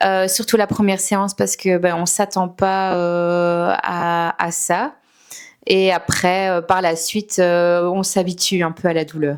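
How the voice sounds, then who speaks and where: Speaking at a very slow pace, a woman keeps a medium pitch and a monotone, flat intonation on a very clean recording with a silent background. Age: 30s. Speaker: salon client giving testimony. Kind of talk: testimony. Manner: hesitant, many fillers.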